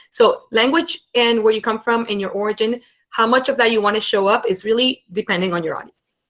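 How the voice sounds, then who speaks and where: Speaking with a Venezuelan accent, a woman uses a fairly high pitch and ordinary pitch variation. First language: Spanish. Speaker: internship program head and brand storyteller. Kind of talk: webinar talk and Q&A. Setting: live webinar.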